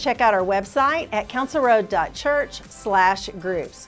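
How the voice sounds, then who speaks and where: A woman speaks over faint music in the background. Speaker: church announcer. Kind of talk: announcement to camera. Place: studio. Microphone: lapel.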